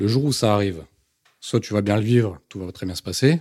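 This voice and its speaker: A man at a fairly quick pace, fairly low in pitch with ordinary pitch variation, in a very clean, dry, close recording with no echo and a silent background. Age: 30s. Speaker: soldier on sick leave with combat trauma. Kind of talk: testimony.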